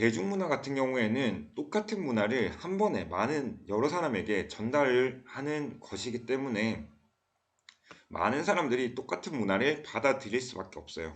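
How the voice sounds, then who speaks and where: In a Daegu accent, a man at medium pitch speaks at a moderate pace with very wide pitch swings and audible room echo. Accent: Gyeongsang (Daegu) dialect, uses it a lot. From South Korea, Daegu. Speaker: school teacher. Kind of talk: lecture.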